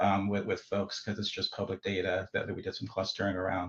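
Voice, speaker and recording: Somewhat breathy, a man's voice carries through. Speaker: stakeholder participant presenting analysis. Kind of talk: public stakeholder meeting discussion. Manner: fast; halting, many repeated words.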